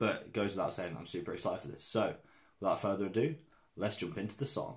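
A man talks at a very fast pace in a fairly low, somewhat breathy voice with lively intonation. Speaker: music reaction youtuber. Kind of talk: casual reaction video talk.

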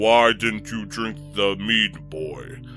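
A man's put-on character voice at medium pitch, with clear music in the background.

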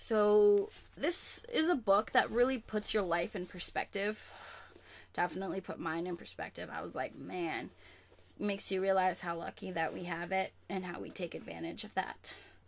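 With vocal fry, a woman speaks at medium pitch and a moderate pace, with ordinary pitch variation. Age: 20s. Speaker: YouTuber, college student; YouTuber. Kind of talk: casual vlog. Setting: home webcam recording. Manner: animated. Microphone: webcam.

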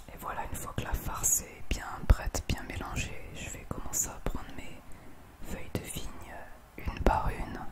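Very slow words come from a woman. She is whispering. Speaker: home cook. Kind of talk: ASMR cooking tutorial. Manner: whispered, soft-spoken. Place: kitchen.

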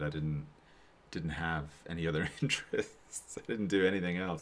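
With an American accent, a man talks at a moderate pace in a very deep, low voice. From United States. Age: 40s. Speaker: artist teaching drawing. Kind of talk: live-stream drawing tutorial with Q&A. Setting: home studio live stream. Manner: casual, halting with many fillers.

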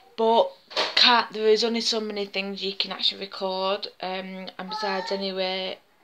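A woman's flat, monotone voice at a moderate pace, over noticeable background noise. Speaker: home vlogger. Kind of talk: casual vlog chat. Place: kitchen. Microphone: phone near.

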